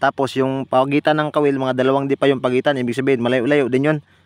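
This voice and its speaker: A man speaks at a very fast pace in a medium pitch. The sound is dry and close, with no echo. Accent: Visayan. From Visayas, Philippines. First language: Bisaya (Cebuano) (speaking Tagalog). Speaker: spearfishing vlogger. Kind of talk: casual vlog narration. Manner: casual, conversational.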